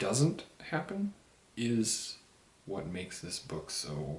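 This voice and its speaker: A man whispers quietly at a very slow pace. Noticeable background noise sits behind him. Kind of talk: casual book review talk to camera, while drinking a beer. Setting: home, recorded on camera with poor sound. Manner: whispered, quiet.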